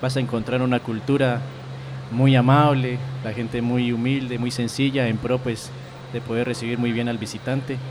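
A man's medium-pitched, monotone, flat delivery at a moderate pace, with audible room echo and noticeable background noise. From Colombia, Cauca (Puracé). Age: 20s. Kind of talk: interview.

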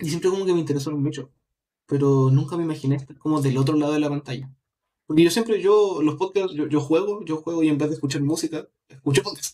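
A man talks at a very fast pace, his fairly high-pitched voice dark and mellow in tone with ordinary pitch variation. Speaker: podcast panelist. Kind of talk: casual chat.

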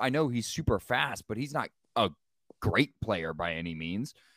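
A man speaks at a moderate pace, his pitch swinging very widely. The sound is dry and close with no echo, and the recording is very clean over a silent background. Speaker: sports podcast co-host. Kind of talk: casual chat.

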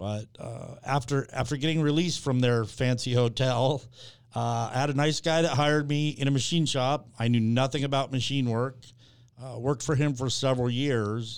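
Over a very clean recording with a silent background, a man with a normal speaking voice talks at a moderate pace, medium pitch and fairly even intonation. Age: 50s. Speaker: tool store owner. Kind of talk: interview.

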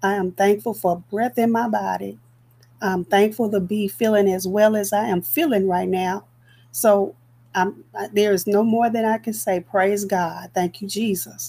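Dark and mellow, a woman's medium-pitched voice moves at a fairly slow pace. Her pitch varies in an ordinary way. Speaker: evangelist podcast host. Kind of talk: devotional podcast sign-off. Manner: halting with fillers.

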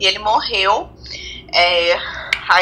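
A woman's voice with noticeable background noise. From Rio de Janeiro, Brazil. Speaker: physician. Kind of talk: casual chat.

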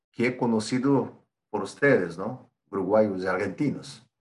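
A man with a Brazilian accent at a fairly slow pace, medium in pitch with ordinary pitch variation. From Brazil, São Paulo. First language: Portuguese (speaking Spanish). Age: 40s. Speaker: export supervisor, Spanish learner. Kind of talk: interview.

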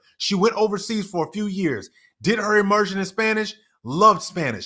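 A man uses a raised, projected voice with a high pitch, a bright, sharp tone, ordinary pitch variation and a fairly quick pace. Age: 30s. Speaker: business coach and podcast president. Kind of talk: interview. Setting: live online show.

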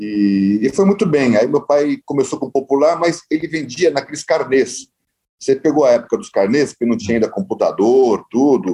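With a dark, mellow tone and fairly high pitch, a man talks at a moderate pace. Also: lively intonation. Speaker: real estate developer. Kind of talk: interview.

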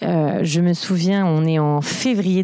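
A woman with fairly low pitch speaks at a very slow pace with fairly even intonation. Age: 30s. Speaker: interviewee sharing bipolar experience. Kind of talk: personal testimony. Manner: halting, repeated stutter-like restarts.

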